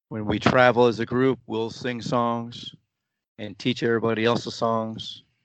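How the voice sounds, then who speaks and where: At a moderate pace, a man with a medium pitch speaks with fairly even intonation. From United States (moved from the Philippines at age four). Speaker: football supporters club president. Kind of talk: interview.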